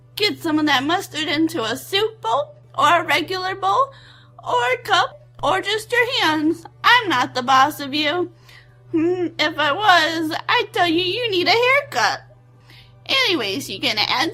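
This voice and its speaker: In a bubbly, put-on character voice at an extremely high pitch, a woman speaks at a fairly slow pace. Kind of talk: comic cooking-show parody. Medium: comedy sketch. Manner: bubbly, folksy and rambling.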